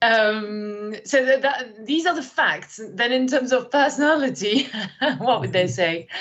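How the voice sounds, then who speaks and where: Speaking fairly slowly with a French accent, a woman uses a high pitch and lively intonation. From France, countryside, moved to London at twelve. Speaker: learning and development manager. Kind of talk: podcast interview. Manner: energetic; hesitant fillers.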